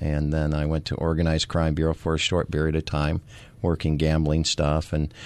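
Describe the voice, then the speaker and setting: Very deep, low pitch from a man, with an American accent. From Missouri Ozarks. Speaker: retired police sergeant and comedian. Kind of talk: casual interview.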